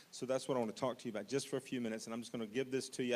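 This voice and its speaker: A man talks with a medium pitch. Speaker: missions pastor. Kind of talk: orientation talk. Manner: fast.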